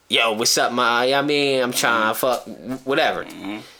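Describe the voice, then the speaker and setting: A man talks at a moderate pace. Noticeable background noise runs beneath his voice. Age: 30s. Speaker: podcast host. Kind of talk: casual chat.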